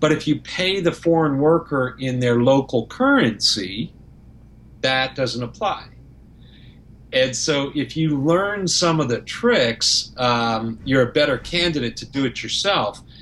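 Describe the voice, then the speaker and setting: At a fairly slow pace, a man talks in an unremarkable speaking voice that is fairly high in pitch. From Canada. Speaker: property management company owner. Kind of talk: podcast interview.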